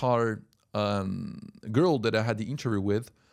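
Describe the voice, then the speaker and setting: A man with a French accent speaks at a medium pitch in an animated tone and a fairly slow pace, in a very clean recording with a silent background. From French-speaking Switzerland, near Geneva. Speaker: language coach and language school worker. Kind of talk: casual talk to camera. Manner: animated, with repetitions and fillers.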